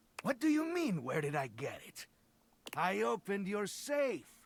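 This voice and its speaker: Using a put-on character voice, a man speaks at a high pitch with very wide pitch swings. His pace is moderate. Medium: video game. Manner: cocky, joking.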